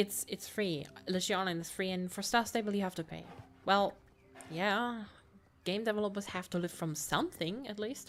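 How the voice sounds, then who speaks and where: With long, frequent pauses, a woman speaks in a German accent. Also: medium pitch for a woman, ordinary pitch variation, moderate pace. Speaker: gamer. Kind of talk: let's play commentary. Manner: halting; reads game dialogue aloud.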